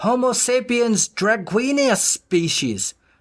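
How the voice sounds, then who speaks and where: This put-on character voice has a fairly high pitch and a fairly slow pace, caught in a very clean recording with a silent background. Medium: read story. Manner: rough, commanding.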